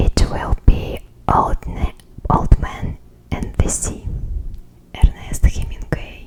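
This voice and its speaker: A woman whispers very slowly with long, frequent pauses and big swings in loudness, noticeable background noise beneath her. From Russia. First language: Russian. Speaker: ASMR creator. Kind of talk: casual talk to camera.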